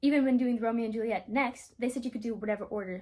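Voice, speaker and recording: A woman's somewhat breathy, fairly high voice at a very fast pace. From South Africa. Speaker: drama school applicant vlogger. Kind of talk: casual vlog storytelling. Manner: enunciates clearly; halting, filler words.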